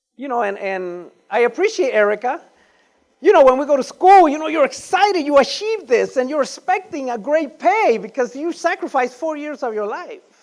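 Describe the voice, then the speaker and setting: The speaker talks at a moderate pace in a Panamanian accent. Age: 50s. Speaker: real estate investor. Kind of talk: conference talk.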